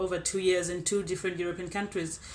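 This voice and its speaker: A woman's medium-pitched voice, monotone and flat, with audible room echo. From South Africa, Eastern Cape (Elliotdale). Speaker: scholarship recipient, agriculture graduate student. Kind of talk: personal testimony. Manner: conversational, with hesitations.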